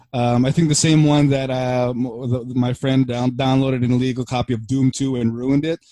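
The speaker, with an American accent, talks at a moderate pace in a monotone, flat intonation. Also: man, medium pitch for a man. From Philippines, then Burbank, California. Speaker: podcast co-host. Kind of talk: casual chat.

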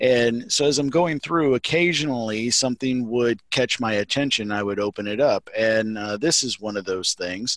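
A man speaks in a Southern US accent. The sound is dry and close with no echo, over a quiet background. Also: medium pitch for a man, ordinary pitch variation, moderate pace. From Mississippi. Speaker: Masonic grand secretary and librarian. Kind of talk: casual interview.

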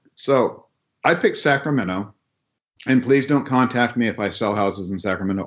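Against a quiet background, a man with an American accent talks at a moderate pace in a plain, everyday voice with ordinary pitch variation. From Southern California, small mountain town. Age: 50s. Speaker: contractor and real estate investor. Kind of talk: casual interview.

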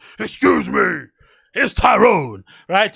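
A man speaks in a put-on character voice. His voice is raspy. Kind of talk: firm, polite but loud. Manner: forceful, intimidating.

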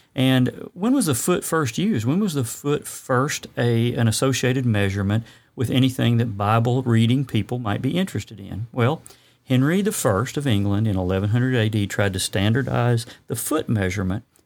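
A medium-pitched man at a fairly quick pace with ordinary pitch variation, on a very clean recording with a silent background. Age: 50s. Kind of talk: solo podcast talk with scripture commentary. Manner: humorous, conversational; audible inhales before sentences.

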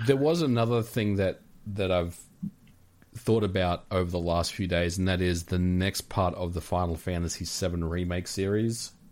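A man speaks with a very deep, low pitch and fairly even intonation at a moderate pace. The recording is very clean, with a silent background. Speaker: co-host, gaming commentator. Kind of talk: casual chat, gaming podcast.

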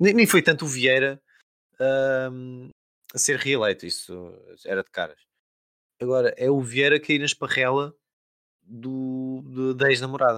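A man speaks fairly slowly at a medium pitch, with ordinary pitch variation, big swings in loudness and long, frequent pauses. The sound is dry and close with no echo, on a very clean recording with a silent background. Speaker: podcast host. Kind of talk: casual chat.

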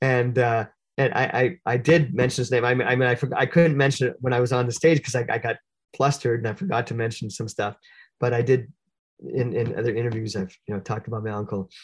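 A man speaks at a very fast pace with a Canadian accent, his medium-pitched, somewhat breathy voice showing ordinary pitch variation over a quiet background. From Canada (Sudbury, Ontario). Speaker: jazz musician. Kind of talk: interview.

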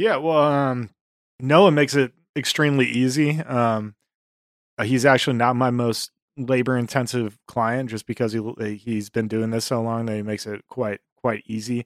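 A man speaks with an unremarkable speaking voice at medium pitch and a moderate pace. His intonation is fairly even, and the sound is dry and close with no echo. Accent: American. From Buffalo, New York, US. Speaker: music artist manager and club owner. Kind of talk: casual interview chat.

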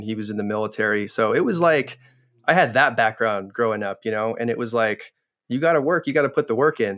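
A man's unremarkable speaking voice, medium in pitch with ordinary variation, at a fairly quick pace. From US Pacific Northwest (rural Oregon, near Portland). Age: 30s. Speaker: entrepreneur and business coach. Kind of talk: casual interview chat.

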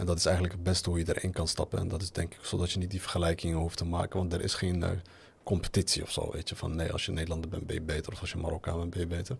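A man talks at a very fast pace with a very deep, low pitch. His voice is somewhat breathy and his intonation is monotone and flat. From Netherlands, Moroccan family. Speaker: podcast host. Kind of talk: casual chat. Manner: halting.

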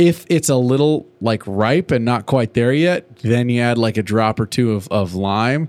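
At a fairly slow pace and with hardly any pauses, a man uses a normal speaking voice of medium pitch, with ordinary pitch variation and very even loudness. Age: 30s. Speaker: podcast co-host, former high school drum instructor. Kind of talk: casual chat.

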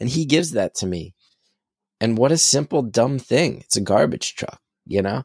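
A man with a medium pitch and lively intonation pauses long and often, recorded dry and close with no echo on a very clean recording with a silent background. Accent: New Jersey. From New Jersey. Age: 40s. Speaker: comedian. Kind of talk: casual chat.

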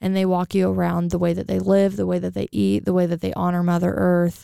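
A woman's fairly low, dark, mellow voice, clear and smooth with vocal fry, monotone and flat at a fairly quick pace, in a very clean recording with a silent background and a dry, close sound with no echo

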